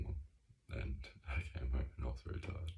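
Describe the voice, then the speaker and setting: A quiet voice with a dark, mellow tone and vocal fry, set against audible room echo. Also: man. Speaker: video diarist. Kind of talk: personal video diary. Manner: quiet, hushed; hesitant, many fillers.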